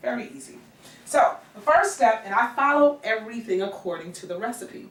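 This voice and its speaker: Over noticeable background noise, a woman with an American accent talks at a moderate pace, her fairly high pitch taking very wide swings and her loudness shifting greatly. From New York. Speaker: middle school music teacher. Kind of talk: cooking tutorial. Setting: home kitchen.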